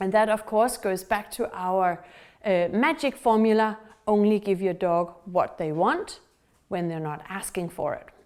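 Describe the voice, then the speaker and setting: A woman at a medium pitch and a fairly slow pace, with ordinary pitch variation and a Danish accent. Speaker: dog trainer. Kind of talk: tutorial.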